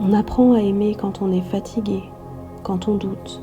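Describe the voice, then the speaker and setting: A soft-spoken woman talks very slowly in a monotone, flat way while music plays in the background. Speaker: sophrologist and astrologer. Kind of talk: meditative spiritual podcast.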